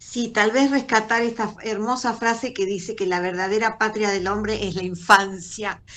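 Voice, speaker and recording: The tone is bright and sharp, with fairly even intonation in a Rioplatense accent. Hardly any pauses break the speech. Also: woman, fairly high pitch for a woman, moderate pace. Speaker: cultural association organizer. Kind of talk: casual chat. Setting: video call.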